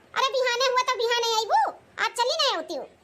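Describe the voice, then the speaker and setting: A woman puts on a cartoonish character voice, squeaky and pitched extremely high, talking at a fairly quick pace. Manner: hurried, evasive.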